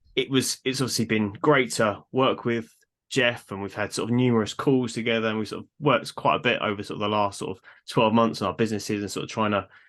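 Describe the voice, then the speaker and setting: A man speaks with a British accent at a medium pitch. He talks very fast, with fairly even intonation. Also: quiet background. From Britain. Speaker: podcast host and fitness coach. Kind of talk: casual interview chat. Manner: halting, many fillers.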